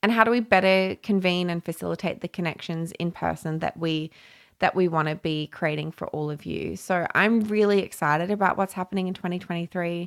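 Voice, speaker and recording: Heard on a very clean recording with a silent background and a dry, close sound with no echo, a woman with an Australian accent speaks at a fairly quick pace and fairly low pitch, her intonation fairly even. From Papua New Guinea and Brisbane, Australia. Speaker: podcast host and community founder. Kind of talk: solo podcast monologue. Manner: casual and chatty.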